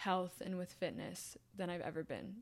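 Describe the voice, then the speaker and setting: A woman speaks with an American accent at medium pitch. Her pace is moderate. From Indiana, US Midwest. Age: 20s. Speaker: former ballet dancer, university student. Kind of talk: interview. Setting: in-person recording.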